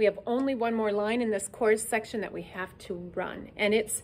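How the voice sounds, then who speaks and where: At a moderate pace, a woman talks in a normal speaking voice with a fairly high pitch and ordinary pitch variation. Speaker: music teacher. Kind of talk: tutorial. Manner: counting beats aloud.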